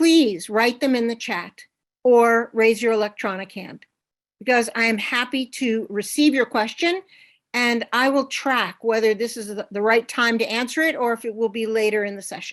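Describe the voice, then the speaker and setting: In an ordinary speaking voice, a woman speaks at a moderate pace with a fairly high pitch and ordinary pitch variation against a quiet background. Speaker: workshop presenter. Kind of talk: online workshop presentation.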